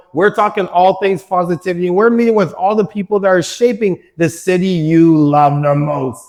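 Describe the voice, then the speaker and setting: Music plays behind a man with a high pitch who speaks at a moderate pace with lively intonation. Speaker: podcast host. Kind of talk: podcast intro to camera. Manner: upbeat.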